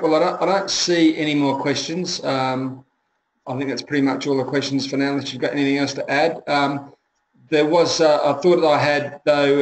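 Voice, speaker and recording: A man with an Australian accent speaks at a fairly quick pace. His fairly high-pitched voice stays monotone and flat. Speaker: webinar moderator. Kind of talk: webinar Q&A. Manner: fast.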